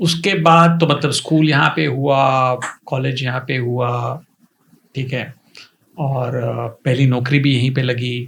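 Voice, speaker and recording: With an unremarkable speaking voice, a man talks at a medium pitch with fairly even intonation. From India, Pune. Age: 50s. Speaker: coaching institute founder. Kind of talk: interview.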